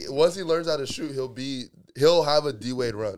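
An unremarkable speaking voice from a man, moderate in pace, with ordinary pitch variation. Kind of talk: casual chat.

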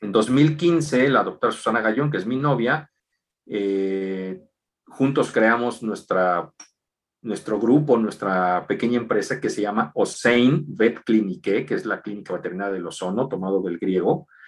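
Using an ordinary speaking voice, a man speaks fairly slowly at a medium pitch with lively intonation. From Mexico City. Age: 40s. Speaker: equine veterinarian. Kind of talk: interview.

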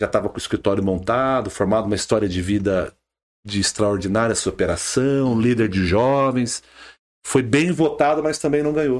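A plain, everyday voice moves at a moderate pace with lively intonation, on a very clean recording with a silent background. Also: man, medium pitch for a man. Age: 40s. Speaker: politician, former city councillor. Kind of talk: podcast interview.

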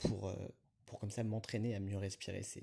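A man's fairly low, dark, mellow voice, somewhat breathy, with a monotone, flat intonation. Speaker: podcaster. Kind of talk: solo monologue. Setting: outdoors, walking in a city. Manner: hesitant, many fillers.

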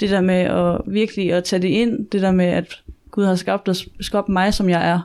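This woman talks at a fairly slow pace with a medium pitch. Her delivery is monotone and flat. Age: 20s. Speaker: student. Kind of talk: interview testimony. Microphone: poor sound quality.

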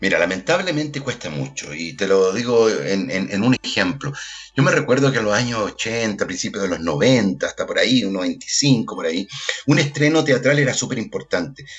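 Noticeable background noise sits behind a man speaking at a moderate pace. His medium pitch swings very widely. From Chile, Puente Alto (Santiago). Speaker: actor and theatre director. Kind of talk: casual chat.

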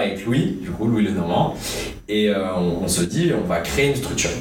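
A man speaks with lively intonation. Audible room echo and noticeable background noise fill the recording. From France, Bordeaux. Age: young. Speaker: web radio co-founder and student. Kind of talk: casual interview.

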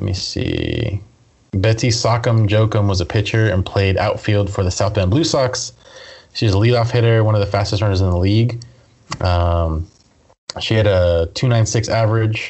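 Somewhat breathy and fairly low, a man's voice moves at a moderate pace with fairly even intonation and very even loudness. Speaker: podcast host. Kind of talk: casual movie review chat.

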